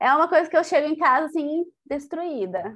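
The background stays quiet. Against it, a woman talks at a fairly slow pace. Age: 20s. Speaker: occupational therapist and podcast co-host. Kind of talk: casual chat.

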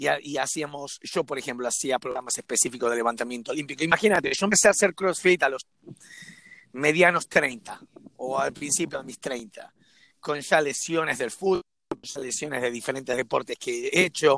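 Bright and sharp in tone, a man speaks at a fairly high pitch with ordinary variation and a moderate pace. The sound is dry and close, without any echo. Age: 40s. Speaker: CrossFit coach. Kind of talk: casual chat. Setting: remote call.

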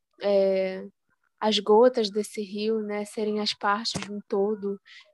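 The intonation is monotone and flat. The sound is dry and close, with no echo. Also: woman. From Belém, Pará (childhood in Rio de Janeiro). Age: 20s. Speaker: poet. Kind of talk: interview.

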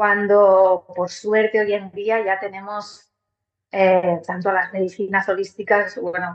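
A woman speaks at a medium pitch. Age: 40s. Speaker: musician and holistic therapist. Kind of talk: interview conversation.

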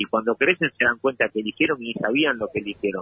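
This man talks at a very fast pace. His voice sits at a medium pitch. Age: 40s. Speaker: prisoner and university student. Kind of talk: interview. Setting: phone call.

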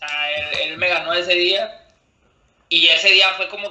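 This man's voice has a high pitch and fairly even intonation. He talks at a moderate pace. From Monterrey, northern Mexico. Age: 20s. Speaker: freestyle rapper. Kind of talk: casual interview. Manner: halting, with many repetitions and fillers.

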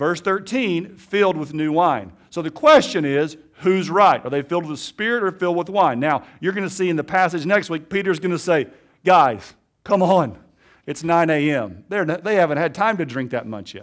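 With an Alabama accent, a man talks at a moderate pace in a high voice on a very clean recording with a silent background. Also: ordinary pitch variation. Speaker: pastor. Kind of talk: sermon. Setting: church.

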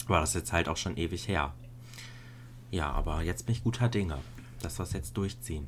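A man with a very deep, low voice and vocal fry speaks at a fairly quick pace. His pitch swings very widely, with long, frequent pauses. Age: 20s. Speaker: podcast co-host. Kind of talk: casual chat.

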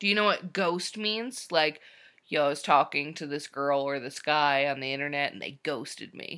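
Big swings in loudness mark this woman's voice, which has a bright, sharp tone and a very deep, low pitch. She keeps a moderate pace with ordinary pitch variation. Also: very clean recording, silent background. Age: 20s. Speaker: podcast co-host. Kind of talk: casual chat. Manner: laughs often.

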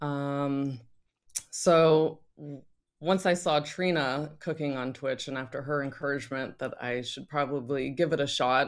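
Very clean and silent behind her, a woman speaks in a very deep, low voice. Her pace is moderate and her intonation fairly even. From Northern Virginia, US. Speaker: podcast co-host, trained chef. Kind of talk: casual chat.

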